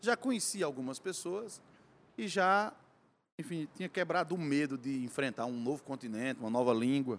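In a very clean recording with a silent background, a man speaks at a moderate pace with a fairly high pitch and very wide pitch swings. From Cariri region, Ceará, Brazil. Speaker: musician. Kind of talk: casual interview. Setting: bar.

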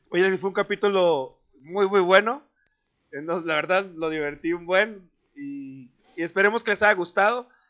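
A man with a Mexican accent talks at high pitch. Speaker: podcast co-host. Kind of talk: casual chat.

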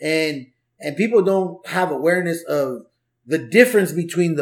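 At a fairly slow pace, a man with an American accent speaks in a high voice with ordinary pitch variation. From Southeast Los Angeles, California. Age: 40s. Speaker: stand-up comedian and life coach. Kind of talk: casual chat. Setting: home garage.

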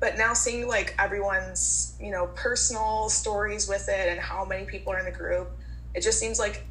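A woman with an American accent talks at a moderate pace over music in the background, with audible room echo. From Minnesota. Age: 20s. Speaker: guest living with a skin disease. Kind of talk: casual group chat.

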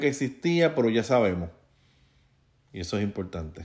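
A man with a Puerto Rican accent in a very clean recording with a silent background. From Puerto Rico. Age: 40s. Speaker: podcast host. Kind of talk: solo news commentary.

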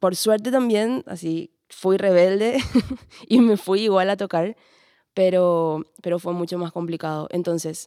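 On a very clean recording with a silent background and a dry, close sound with no echo, a woman with a fairly low pitch and a dark, mellow tone speaks at a fairly slow pace with fairly even intonation. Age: 20s. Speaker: bassist and singer. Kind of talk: roundtable conversation. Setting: cultural centre recording.

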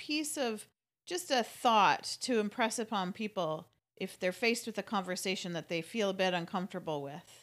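A woman's ordinary speaking voice, medium in pitch, at a moderate pace with lively intonation, in a very clean recording against a silent background. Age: 40s. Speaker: podcast host.

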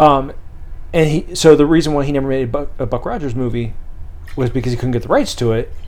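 In a room with audible echo, a man talks very fast at a fairly high pitch with fairly even intonation. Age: 30s. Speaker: podcast co-host. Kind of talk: casual chat.

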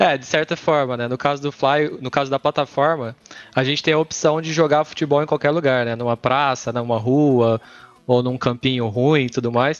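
In a dry, close sound with no echo, a man has an ordinary speaking voice, with medium pitch, a moderate pace and fairly even intonation. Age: 30s. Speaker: esports company co-founder. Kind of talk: casual interview chat.

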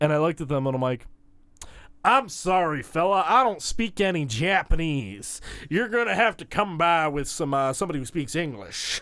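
In a very clean recording with a silent background, a man with an American accent speaks at a moderate pace in a fairly high pitch, with very wide pitch swings. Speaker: college radio host. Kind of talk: casual chat. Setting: studio. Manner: rambling.

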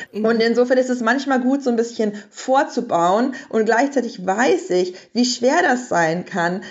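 A woman's unremarkable speaking voice at a fairly high pitch, moderate pace and ordinary pitch variation. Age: 30s. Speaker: parenting author and journalist. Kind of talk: podcast interview.

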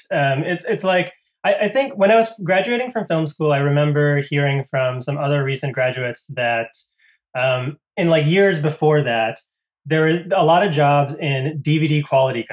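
A man with an American accent and an unremarkable speaking voice talks at a moderate pace, his fairly high pitch showing ordinary pitch variation. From US Northeast (Connecticut). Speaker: filmmaker. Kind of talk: interview. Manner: casual, many fillers.

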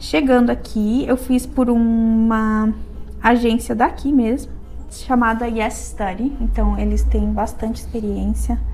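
Music plays in the background as a woman talks at a very slow pace amid audible room echo. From southern Brazil, Serra Gaúcha (Rio Grande do Sul). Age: 30s. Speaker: beautician, eyebrow and lash studio owner. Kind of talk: interview. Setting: her studio.

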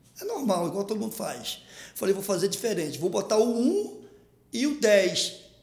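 Noticeable background noise behind a man's high voice, moderate in pace, with ordinary pitch variation. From Rio de Janeiro, Maré favela. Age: 50s. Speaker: comedian and internet personality. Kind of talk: casual interview storytelling. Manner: animated.

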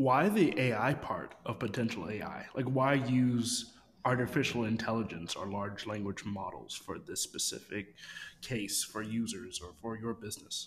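A man with an ordinary speaking voice keeps to a medium pitch, talking at a moderate pace with ordinary pitch variation. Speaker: podcast co-host and co-founder. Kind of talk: casual interview.

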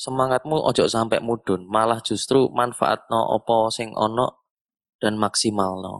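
A man with a Surabaya accent talks at a very slow pace, his medium pitch carrying fairly even intonation. The sound is dry and close with no echo. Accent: Surabaya Javanese (Suroboyoan). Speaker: guitarist, session player. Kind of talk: casual chat. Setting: video call.

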